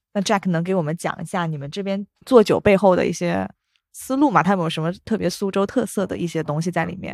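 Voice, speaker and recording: Very fast in pace, a woman's fairly low voice shows ordinary pitch variation. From Wenzhou, Zhejiang, China. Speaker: podcast host. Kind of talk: casual chat. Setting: in a bar.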